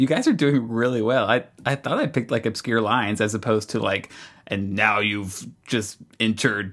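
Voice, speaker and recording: This man has an unremarkable speaking voice, medium in pitch, with fairly even intonation and a fairly quick pace. The recording is very clean, with a silent background. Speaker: podcast host.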